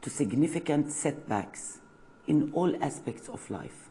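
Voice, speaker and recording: A woman's very deep, low voice in an Arabic accent, very slow pace, audible room echo. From Palestine, village near Nablus. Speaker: university lecturer. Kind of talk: lecture. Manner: halting, many fillers.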